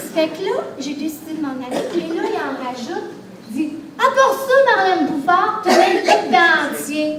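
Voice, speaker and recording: Speaking at a fairly slow pace in an extremely high pitch with a Quebec accent, a woman makes very wide pitch swings and big swings in loudness, with noticeable background noise and audible room echo. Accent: Québécois French. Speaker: comedian. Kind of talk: stand-up. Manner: animated.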